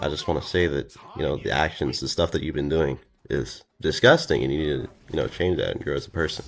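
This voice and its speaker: Very deep and low with vocal fry, a man's voice races at a very fast pace with ordinary pitch variation. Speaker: drama commentary YouTuber. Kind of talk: video outro monologue.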